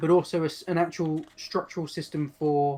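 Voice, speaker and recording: In an English accent, a man with a high pitch talks at a moderate pace in a monotone, flat way. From England. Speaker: game designer and palaeontologist. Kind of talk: interview.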